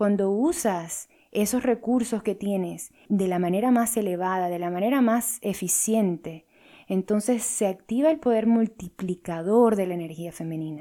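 A woman's medium-pitched voice, calm and dark, mellow in tone, fairly slow with ordinary pitch variation, in a very clean recording with a silent background. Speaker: life coach and podcast host. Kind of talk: solo podcast talk on spirituality.

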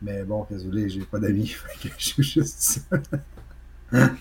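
This man's intonation is lively. His voice is somewhat breathy. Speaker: video game podcast co-host. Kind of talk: casual chat.

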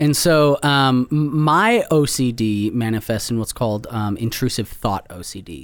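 A man with an American accent speaks in a normal speaking voice at a medium pitch, his intonation lively and his loudness swinging widely. The pace is fairly slow with hardly any pauses, and the recording is very clean against a silent background. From Wisconsin. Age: 30s. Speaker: author. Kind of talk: interview. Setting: studio.

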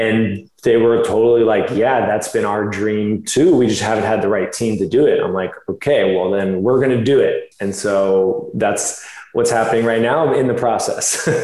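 A man with an American accent, medium in pitch with ordinary variation, at a moderate pace with hardly any pauses, in audible room echo. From Florida. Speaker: chiropractor and fitness model. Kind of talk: interview.

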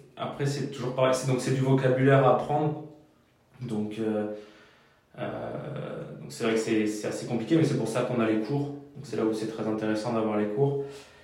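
Amid noticeable background noise and audible room echo, a man of medium pitch talks at a moderate pace with ordinary pitch variation and long, frequent pauses. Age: 20s. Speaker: mechanic. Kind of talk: interview. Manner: halting.

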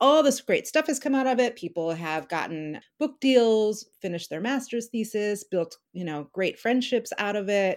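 Speaking at a moderate pace with hardly any pauses, a woman's fairly high voice moves through very wide pitch swings in a very clean recording with a silent background. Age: 50s. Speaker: novelist. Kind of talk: interview.

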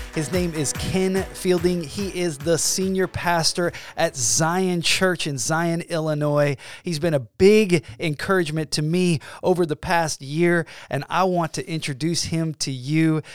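Speaking at a fairly slow pace, a man uses a high pitch and fairly even intonation. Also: dry, close sound with no echo. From US South (Georgia). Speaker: podcast host. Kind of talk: interview.

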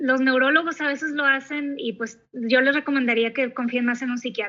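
A bright, sharp tone comes at a fairly slow pace with ordinary pitch variation. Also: woman. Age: 30s. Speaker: psychologist. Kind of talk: interview.

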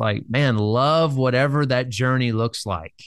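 A man's voice with fairly even intonation against a quiet background. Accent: Southern US. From US South, Birmingham, Alabama. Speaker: life coach. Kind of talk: interview.

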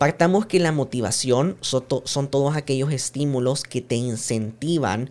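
A man with an unremarkable speaking voice, medium in pitch, at a moderate pace with ordinary pitch variation. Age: 20s. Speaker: podcast host and digital projects consultant. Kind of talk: solo monologue podcast.

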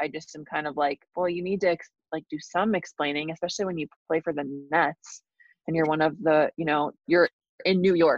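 A woman talks in a normal speaking voice at a fairly quick pace. Her pitch sits fairly low, and her intonation stays fairly even. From Minnesota. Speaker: sideline reporter. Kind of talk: casual chat.

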